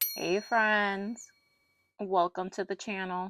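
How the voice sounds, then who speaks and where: Over a quiet background, a woman's shaky voice comes at a medium pitch and fairly slow pace, the sound dry and close with no echo. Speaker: doll collector YouTuber. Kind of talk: personal rant to camera.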